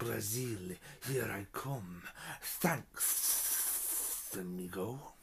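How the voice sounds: Over clear background noise, a man does a hissing, put-on character voice at a fairly low pitch and a very slow pace.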